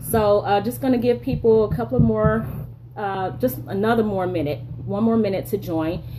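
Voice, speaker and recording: With noticeable background noise behind her, a woman speaks at a very deep, low pitch that swings very widely. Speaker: leadership strategist and live streamer. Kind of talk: live stream monologue. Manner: fast. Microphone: bad cell signal.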